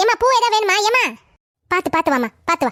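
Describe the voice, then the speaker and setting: An extremely high, squeaky cartoonish character voice from a woman, with very wide pitch swings, a moderate pace and a dry, close sound with no echo. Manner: warm, motherly, addresses customers as ma.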